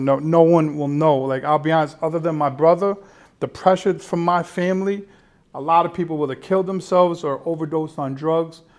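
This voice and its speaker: The man uses a normal speaking voice pitched fairly high. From Colombia, raised in Connecticut. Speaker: entrepreneur and author. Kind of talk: interview.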